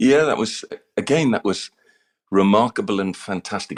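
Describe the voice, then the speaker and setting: A man with an RP accent at a moderate pace, in a dry, close sound with no echo. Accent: English (RP-like). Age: 60s. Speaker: former actor and communications coach. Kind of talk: interview. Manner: halting, repeats words.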